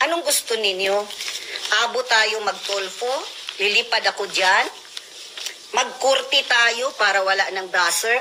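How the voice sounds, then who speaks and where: With noticeable background noise behind her, a woman speaks at a moderate pace in a fairly high pitch. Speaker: military spouse. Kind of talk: angry rant. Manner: animated.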